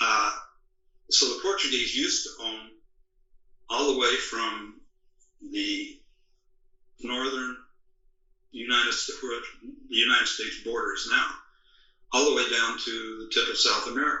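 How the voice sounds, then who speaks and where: Pausing long and often, a man speaks in a room with audible echo. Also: moderate pace. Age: 80s+. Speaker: author and historical researcher. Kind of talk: interview. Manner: halting, with frequent fillers.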